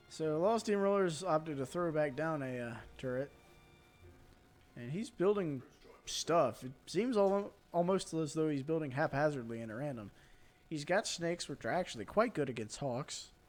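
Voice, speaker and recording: Music plays in the background as a man speaks with an American accent. His pitch is fairly high, his intonation lively and his pace moderate. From North Carolina, rural. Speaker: game commentator and streamer. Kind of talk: live commentary. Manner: animated.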